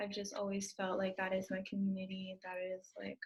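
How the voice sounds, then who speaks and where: A woman with a medium pitch speaks at a fairly quick pace, sounding somewhat breathy. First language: Spanish. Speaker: adoptee panelist, former social worker. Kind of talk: panel discussion.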